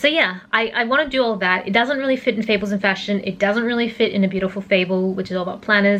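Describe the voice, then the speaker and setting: The speech races at a very fast pace with hardly any pauses and ordinary pitch variation. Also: woman, medium pitch for a woman. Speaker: vlogger. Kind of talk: casual vlog monologue. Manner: hesitant, many fillers.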